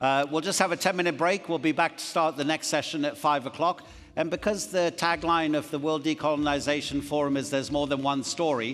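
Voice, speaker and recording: This man has an unremarkable speaking voice with a fairly high pitch. He moves at a fairly quick pace with ordinary pitch variation. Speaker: conference moderator. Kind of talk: event moderation.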